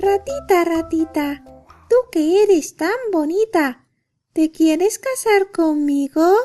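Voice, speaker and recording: Over faint background music, a put-on character voice drawls at a very slow pace. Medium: read story. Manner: sweet, charming.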